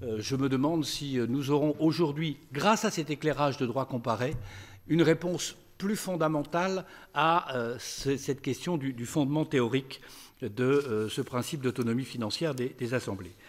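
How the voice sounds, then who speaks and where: At a fairly slow pace, a man speaks with a fairly high pitch and ordinary pitch variation. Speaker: law professor. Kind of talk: conference speech. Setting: stage with audience. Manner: formal. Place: hall. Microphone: podium.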